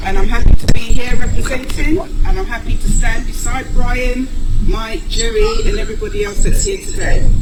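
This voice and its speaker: A woman's extremely high voice in an English accent, with very wide pitch swings and a moderate pace, amid noticeable background noise and audible room echo. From England. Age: 60s. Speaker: widow and advocate. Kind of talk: rally speech. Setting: outdoor rally.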